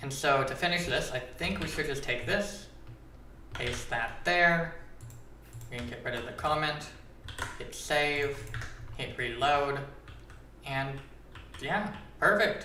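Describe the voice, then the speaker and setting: A man with a fairly high pitch at a very slow pace, with long, frequent pauses, audible room echo and noticeable background noise. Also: ordinary pitch variation. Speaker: Minecraft data pack creator, streamer. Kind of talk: live stream tutorial. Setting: live stream. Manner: casual, filler-heavy. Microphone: echoey audio.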